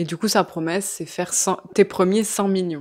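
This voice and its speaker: A woman of medium pitch at a fairly slow pace and fairly even intonation, on a very clean recording with a silent background. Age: 20s. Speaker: entrepreneur and investor. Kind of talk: interview. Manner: casual, hesitant with fillers.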